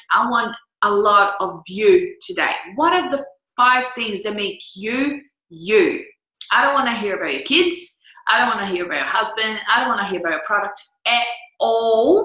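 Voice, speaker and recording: Amid audible room echo, a woman with a fairly high pitch speaks in an animated tone at a moderate pace, her pitch swinging very widely. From Brazil. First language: Portuguese. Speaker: business coach. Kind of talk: online coaching talk.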